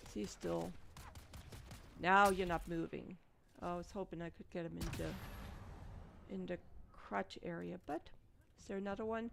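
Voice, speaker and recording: A woman speaks in a German accent with a relaxed tone. Her pace is fairly slow, with long, frequent pauses. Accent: German accent, non-native pronunciation. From Germany. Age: old. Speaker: gaming streamer. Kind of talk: live gameplay commentary. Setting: live stream. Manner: relaxed, casual.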